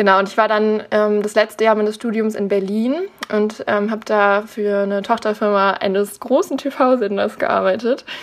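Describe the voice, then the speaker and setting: At a moderate pace, a woman with a fairly high pitch and fairly even intonation speaks in an ordinary speaking voice. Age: 20s. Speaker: naturopath in training. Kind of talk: interview.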